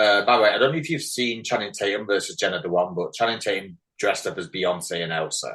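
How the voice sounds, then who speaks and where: This man, with an English accent, talks very fast. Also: hardly any pauses. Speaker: podcast host. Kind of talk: casual chat.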